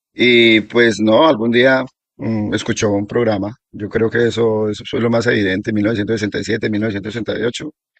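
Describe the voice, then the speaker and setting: A man with a Colombian accent speaks fairly quickly at medium pitch, in a monotone, flat intonation. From Colombia, Risaralda region then eastern plains. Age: 60s. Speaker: local elder sharing oral history. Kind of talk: oral history interview. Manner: halting, with fillers and repetitions.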